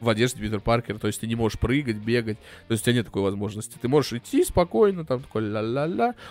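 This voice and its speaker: A man's medium-pitched voice moves very fast, its pitch varying in an ordinary way. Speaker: podcast co-host. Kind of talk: casual chat. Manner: loud.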